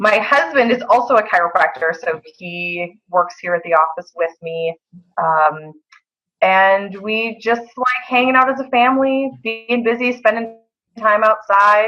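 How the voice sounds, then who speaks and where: With a Wisconsin accent, a woman speaks fairly slowly in a fairly high voice. Her intonation is lively, and music plays in the background. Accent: Wisconsin accent, noticeable. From Wisconsin, Eau Claire. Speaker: chiropractor. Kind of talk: casual interview.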